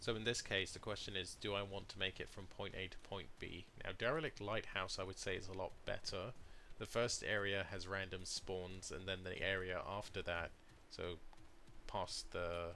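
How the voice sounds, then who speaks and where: With a British accent, a man speaks in a fairly low pitch, his tone bright and sharp and his intonation fairly even. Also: moderate pace. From Britain. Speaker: gaming streamer. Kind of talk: gameplay commentary. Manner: casual.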